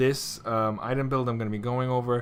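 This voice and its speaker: A man is speaking. His pitch is medium. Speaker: gaming video creator. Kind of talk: tutorial.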